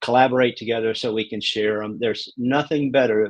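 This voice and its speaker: Someone with a Southern US accent speaks with fairly even intonation. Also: man. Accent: Southern drawl. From New York (Queens). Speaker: real estate broker. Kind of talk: interview.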